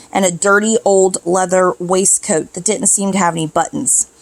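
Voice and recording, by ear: The text is read aloud in a natural voice, and the intonation stays fairly even.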